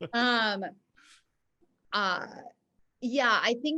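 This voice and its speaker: Bright and sharp in tone, a woman speaks at a very slow pace. Her pitch varies in an ordinary way. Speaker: actress. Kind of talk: casual chat.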